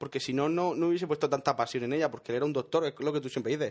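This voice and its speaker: A man with a fairly high pitch speaks against a quiet background. His pitch varies in an ordinary way. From Murcia, Spain. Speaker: podcast co-host. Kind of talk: casual chat.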